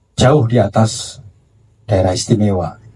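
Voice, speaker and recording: A dark, mellow tone comes through, somewhat breathy in quality. The pace is fairly slow, and the pitch varies in an ordinary way. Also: man. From Java, Indonesia. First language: Javanese (speaking Indonesian). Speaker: book publisher. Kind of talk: panel discussion. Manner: halting.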